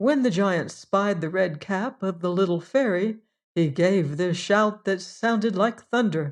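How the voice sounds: Over a quiet background comes a natural reading voice whose pitch varies in an ordinary way.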